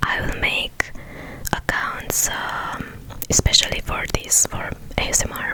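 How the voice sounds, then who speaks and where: A woman whispering, with noticeable background noise. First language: non-native English speaker. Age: 20s. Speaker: ASMR creator. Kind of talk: ASMR Q&A talk to camera. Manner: whispered.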